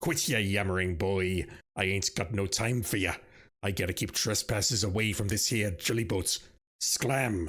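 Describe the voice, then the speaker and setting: A man does a put-on character voice, growling and gruff at a fairly low pitch. He keeps a moderate pace with ordinary pitch variation on a very clean recording with a silent background. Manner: growling, snarling, gruff.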